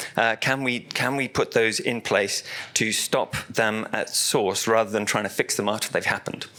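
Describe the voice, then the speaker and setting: With noticeable noise behind him, a man speaks at medium pitch in a flat monotone at very even loudness. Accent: British. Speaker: technology director presenting at an industry event. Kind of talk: conference presentation. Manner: fast; halting, many fillers and repetitions.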